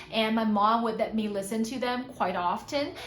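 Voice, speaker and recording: The voice has ordinary pitch variation, with audible room echo and music in the background. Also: woman. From Taiwan. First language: Hakka, then Mandarin. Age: 20s. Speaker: polyglot language learning vlogger. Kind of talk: casual vlog monologue in several languages. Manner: halting with many fillers in French.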